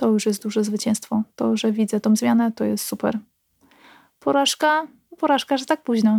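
A woman with an unremarkable speaking voice talks at a moderate pace in a fairly high pitch. Her ordinary pitch variation comes through with a dry, close sound with no echo. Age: 30s. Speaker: nurse. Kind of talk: casual chat.

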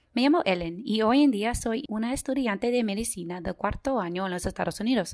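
With an American accent, a woman speaks at a fairly high pitch and a fairly quick pace, with lively intonation and hardly any pauses. The recording is very clean, with a silent background. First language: English (speaking Spanish). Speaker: medical student, podcast host. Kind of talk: scripted podcast introduction.

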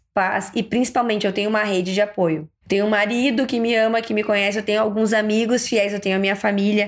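Speaking at a moderate pace with fairly even intonation, a woman at medium pitch has an ordinary speaking voice, captured on a very clean recording with a silent background. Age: 30s. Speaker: podcast host and ENT doctor. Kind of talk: casual monologue.

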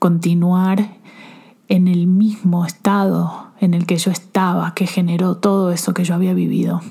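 A woman speaks at medium pitch and a fairly slow pace. Her intonation is monotone and flat. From Argentina. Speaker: self-love coach and podcast host. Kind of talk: personal testimony. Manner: halting.

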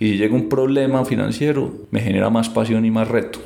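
At a moderate pace with fairly even intonation, the voice comes through noticeable background noise and audible room echo. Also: man. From Colombia, Antioquia (Medellín). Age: 30s. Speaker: financial advisor. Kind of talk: interview.

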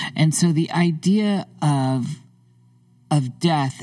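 The voice has a dark, mellow tone and moves at a very slow pace. Its pitch varies in an ordinary way. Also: woman. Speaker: podcast host. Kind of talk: conversational interview with scripted intro. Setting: remote recording over digital platform.

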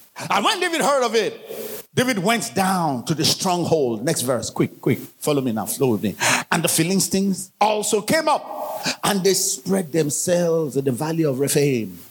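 Amid noticeable background noise, a man talks animatedly at a high pitch with very wide pitch swings, a moderate pace, very even loudness, and hardly any pauses. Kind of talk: sermon. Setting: church. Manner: animated, exhorting the congregation; urgent, forceful preaching.

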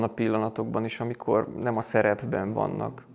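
A man speaks in a medium pitch. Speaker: Jesuit priest, college rector. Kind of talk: interview conversation. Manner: halting, many repetitions.

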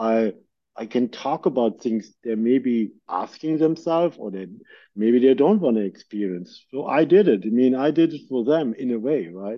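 A man speaks with a German accent at a medium pitch. His intonation is lively and his pace moderate. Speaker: podcast host and producer. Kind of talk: casual interview chat. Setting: video call.

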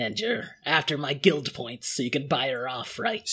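A man puts on a raspy character voice at a fairly high pitch. He speaks at a moderate pace. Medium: actual play. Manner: warm, wry.

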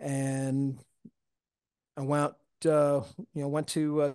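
A man with an American accent speaks at a fairly high pitch, his voice dry and close with no echo against a quiet background. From US Northeast, Long Island, New York. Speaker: towboat captain. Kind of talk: interview, casual storytelling. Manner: halting, many fillers and repeated words.

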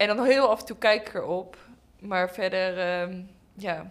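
A woman speaks at a very slow pace on a very clean recording with a silent background. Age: 20s. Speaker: pedagogy student. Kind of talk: casual chat.

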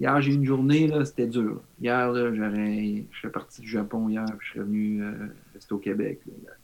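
This man has a plain, everyday voice at a medium pitch. He talks at a fairly slow pace with ordinary pitch variation. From Quebec. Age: 50s. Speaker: model and cyclist. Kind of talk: casual chat.

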